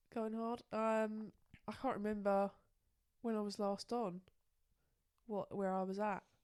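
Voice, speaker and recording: Pausing long and often, a woman with a fairly high pitch speaks fairly slowly in a monotone, flat intonation. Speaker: podcast co-host. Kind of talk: casual chat.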